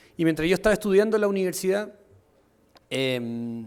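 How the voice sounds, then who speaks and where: A man talks at a very fast pace with a high pitch. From Chile. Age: 20s. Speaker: entrepreneur. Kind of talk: conference talk.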